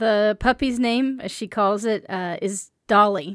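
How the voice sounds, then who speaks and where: On a very clean recording with a silent background and a dry, close sound with no echo, a woman speaks at a fairly slow pace. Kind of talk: casual roleplay improv. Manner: hesitant, laid-back, giggly.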